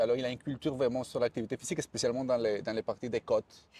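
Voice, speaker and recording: Against a quiet background, a man with a Spanish accent speaks in a dark, mellow tone at a medium pitch, with a dry, close sound and no echo. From Colombia. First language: Spanish (speaking French). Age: 40s. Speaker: fitness and hydration specialist. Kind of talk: interview. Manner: halting, with repetitions.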